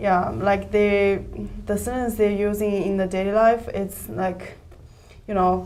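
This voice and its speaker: With a Chinese accent and monotone, flat intonation, a voice moves at a fairly slow pace amid audible room echo and noticeable background noise. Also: woman. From China. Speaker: staff member of English learning site. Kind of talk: casual chat.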